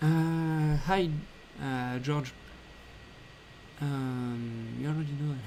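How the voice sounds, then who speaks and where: With audible room echo, a man with a French accent and fairly high pitch speaks at a very slow pace, his intonation fairly even and his pauses long and frequent. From France. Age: 20s. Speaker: 3D artist and game developer. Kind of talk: live Q&A stream. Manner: halting, many fillers.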